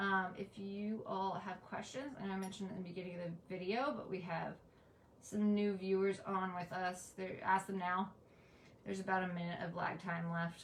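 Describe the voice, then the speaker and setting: Amid audible room echo, a woman speaks at a medium pitch and moderate pace with monotone, flat intonation. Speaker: pagan educator, livestream host. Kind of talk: live-stream lecture with Q and A. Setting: live stream, in front of an apothecary shelf.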